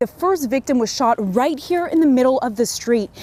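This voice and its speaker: Amid noticeable background noise, a woman with a high pitch talks at a moderate pace with lively intonation. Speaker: TV news anchor and reporter. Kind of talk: television news reporting. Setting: on-location field reports and studio anchoring.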